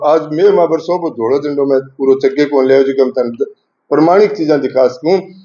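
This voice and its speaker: A man at fairly high pitch, ordinary pitch variation and a moderate pace. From Rajasthan. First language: Rajasthani (speaking Hindi). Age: 60s. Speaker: language activist and local news reporter. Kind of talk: address to college students. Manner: animated.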